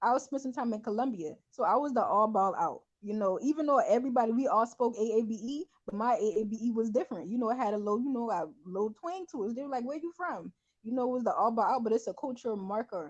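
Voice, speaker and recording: Speaking very fast in an American accent, a woman with a fairly high pitch uses lively intonation and an animated tone. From US South, Charleston SC, Gullah Geechee. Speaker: teacher and podcast host. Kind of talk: casual chat.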